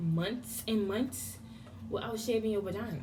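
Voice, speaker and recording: There is noticeable background noise in this clip. A woman speaks at a moderate pace and a fairly high pitch. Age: young. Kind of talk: casual talk to camera. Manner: animated, humorous.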